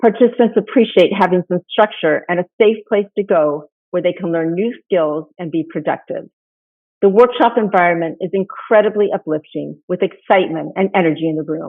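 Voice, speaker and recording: Ordinary pitch variation marks a woman's medium-pitched speech at a moderate pace. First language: Spanish. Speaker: nonprofit founder. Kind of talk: conference keynote presentation. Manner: formal.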